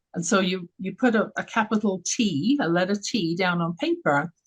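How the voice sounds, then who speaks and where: A woman with a London accent speaks at a fairly slow pace with lively intonation, somewhat breathy, in a dry, close sound with no echo. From England, London. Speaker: radio show host, confidence coach. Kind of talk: interview. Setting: live radio stream.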